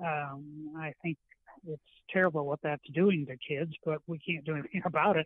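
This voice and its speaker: This man's voice has a fairly high pitch and flat, monotone intonation. He speaks at a moderate pace. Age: 80s+. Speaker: retired teacher and author. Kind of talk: interview. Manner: halting, many fillers.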